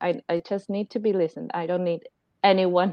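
A woman with an Argentine accent speaks at a moderate pace and a medium pitch. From Argentina. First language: Spanish. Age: 30s. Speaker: life coach and new mother. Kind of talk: casual chat. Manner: hesitant, many fillers.

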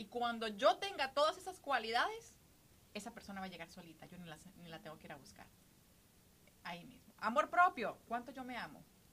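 A woman's bright, sharp tone at a fairly quick pace, with very wide pitch swings and big swings in loudness. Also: fairly high pitch for a woman. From Costa Rica. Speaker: podcast co-host. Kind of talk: casual chat.

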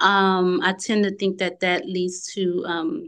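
A woman speaks at a medium pitch in a Southern US accent. The background is quiet. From Louisiana, small town. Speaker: travel business owner. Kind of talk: interview.

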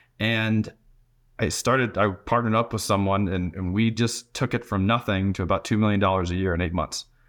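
This man has an ordinary speaking voice, fairly low in pitch with ordinary variation, and talks at a fairly quick pace in a very clean recording with a silent background. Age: 40s. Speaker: business founder and consultant. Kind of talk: interview conversation.

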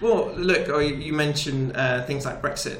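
Noticeable background noise plus audible room echo on a man's speech. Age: 30s. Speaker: chartered accountant, business chamber president. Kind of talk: interview.

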